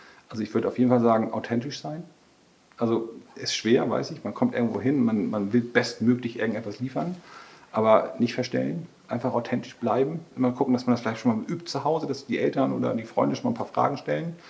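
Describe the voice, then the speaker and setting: Through noticeable background noise, a man talks very fast with ordinary pitch variation. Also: medium pitch for a man. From northern Germany, Schleswig-Holstein near Brunsbüttel. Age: 50s. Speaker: vocational training manager. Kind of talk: interview.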